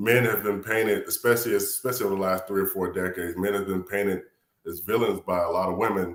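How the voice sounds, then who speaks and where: A man with an American accent, fairly low pitch, fairly even intonation and a very fast pace. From US South, Atlanta, Georgia. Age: 40s. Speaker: retired Air Force veteran, panel guest. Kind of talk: panel discussion.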